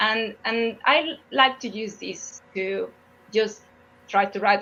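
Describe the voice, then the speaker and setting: A woman speaks in a Spanish accent at a medium pitch. Her intonation stays fairly even. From Mexico. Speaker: geophysicist. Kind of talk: interview Q&A. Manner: halting, with frequent repetitions.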